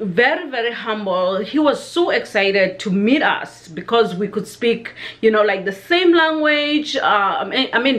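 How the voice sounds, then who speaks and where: A woman's fairly slow speech with very wide pitch swings. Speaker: vlogger. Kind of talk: casual vlog chat. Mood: warm, reminiscing tribute. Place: home room. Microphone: webcam.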